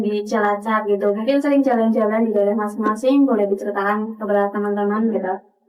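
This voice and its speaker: Over music in the background, a woman talks at a fairly quick pace in a fairly high voice with fairly even intonation. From Tegal, Central Java. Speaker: student podcast host. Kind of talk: podcast interview. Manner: casual, hesitant with fillers.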